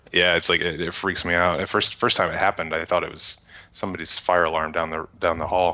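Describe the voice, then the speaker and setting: A man's very deep, low pitch in monotone, flat intonation at a very fast pace. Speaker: tech radio co-host. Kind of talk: casual chat.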